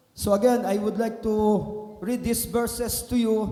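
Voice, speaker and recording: A man speaks in a high, flat monotone. Audible room echo surrounds his voice. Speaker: guest preacher. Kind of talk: sermon. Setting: church.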